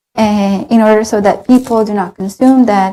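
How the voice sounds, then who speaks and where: Somewhat breathy, a woman's voice of medium pitch carries a dark, mellow tone. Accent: Spanish. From Colombia. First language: Spanish. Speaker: graduate student and former intern. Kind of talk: interview. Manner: hesitant, many fillers.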